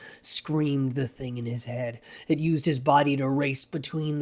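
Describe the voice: The clip is plain reading aloud. Nothing more is given.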